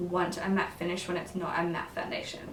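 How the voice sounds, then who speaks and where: Spoken in an Australian accent, this clip carries noticeable background noise and audible room echo. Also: woman. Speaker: beauty vlogger. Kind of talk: makeup tutorial review.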